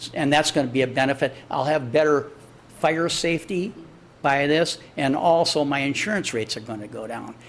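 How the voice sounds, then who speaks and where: A man with an American accent speaks in a normal speaking voice, fairly high-pitched, with ordinary pitch variation at a moderate pace. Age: 60s. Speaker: business owner addressing city council. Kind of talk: public comment at council meeting. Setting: city council chamber. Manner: conversational, repetitive fillers.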